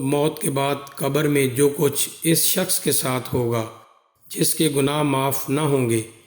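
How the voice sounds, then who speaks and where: A man with a fairly high pitch speaks with fairly even intonation in a plain, everyday voice. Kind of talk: religious story narration.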